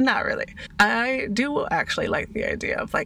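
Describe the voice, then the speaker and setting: With noticeable noise in the background, a woman talks at a medium speed. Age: 40s. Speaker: podcast host, craft business owner. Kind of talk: casual solo monologue.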